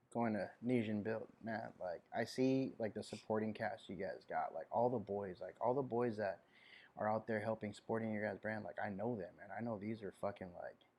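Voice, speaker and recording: Monotone, flat intonation marks this man's medium-pitched voice at a moderate pace. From Hawaii, born in Kosrae, Micronesia. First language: Kosraean. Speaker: clothing brand founder. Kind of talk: casual chat.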